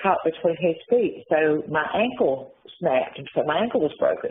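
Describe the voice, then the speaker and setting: The speaker is a woman. She talks with an Appalachian accent. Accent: Appalachian Southern US. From US South, western North Carolina. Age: 60s. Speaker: former prisoner. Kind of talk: interview. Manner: halting.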